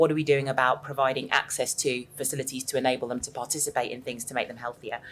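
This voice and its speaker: A woman with a southern English accent talks at a very fast pace with hardly any pauses. Her very deep, low voice stays monotone and flat while its loudness swings widely. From southern England. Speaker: panel speaker. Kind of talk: panel discussion.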